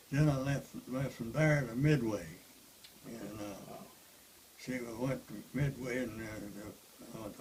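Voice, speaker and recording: A man with a Southern US accent talks at a medium pitch with ordinary pitch variation. His pace is fairly slow, with long, frequent pauses, over noticeable background noise. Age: 80s+. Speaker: war veteran. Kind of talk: interview answer.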